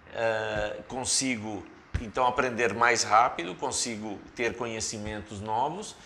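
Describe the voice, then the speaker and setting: Audible room echo surrounds a man speaking at a very slow pace. His tone is bright and sharp, with fairly even intonation. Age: 60s. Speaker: senior executive consultant. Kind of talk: casual chat.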